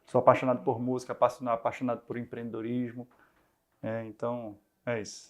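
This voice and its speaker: This man has a medium pitch and a monotone, flat intonation, moving at a fairly quick pace. Long, frequent pauses break up his speech on a very clean recording with a silent background. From Brazil, Recife (Northeast). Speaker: startup founder and CEO, musician. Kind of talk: interview. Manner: hesitant, many fillers and repetitions.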